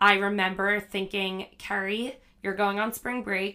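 A bright, sharp tone with an American accent comes at a fairly slow pace. The intonation is monotone and flat, in a very clean recording with a silent background. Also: woman. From New Jersey. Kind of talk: casual interview chat.

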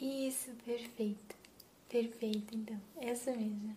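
Noticeable background noise sits behind a woman's calm, soothing tone, her fairly high pitch and fairly even intonation unfolding at a very slow pace. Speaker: ASMR creator playing a chiropractor. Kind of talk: ASMR roleplay, soft guided chiropractic session with breathing cues; intimate close-mic whisper-style role-play with reassurance. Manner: soft-spoken, slow, calm and soothing; gentle, reassuring, explains each step and counts breaths.

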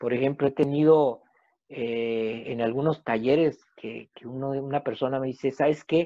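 Fairly slow, fairly even male speech at a medium pitch, an unremarkable speaking voice. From Mexico. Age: 50s. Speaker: family constellation therapist. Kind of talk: casual interview.

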